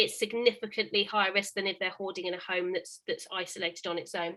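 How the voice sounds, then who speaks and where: A woman at a very fast pace, medium in pitch, with a bright, sharp tone. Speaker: housing officer. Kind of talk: webinar presentation.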